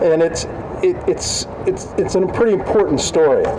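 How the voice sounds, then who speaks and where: At a fairly slow pace, the speaker is heard with audible room echo and noticeable background noise. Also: man. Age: 60s. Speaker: university administrator giving opening remarks. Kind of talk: ceremonial welcome speech. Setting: outdoors with audience. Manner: halting, repeats words.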